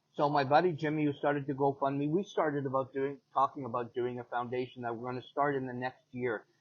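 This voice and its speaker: Speaking at a fairly quick pace with a Canadian accent, a man uses a normal speaking voice. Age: 60s. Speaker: paralympic athlete and motivational speaker. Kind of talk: interview. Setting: in person.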